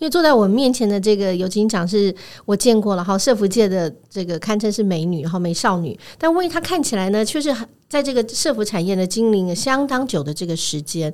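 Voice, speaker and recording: Lively intonation marks this woman's medium-pitched voice. She talks at a fairly quick pace. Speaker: radio host. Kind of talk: interview. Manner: halting.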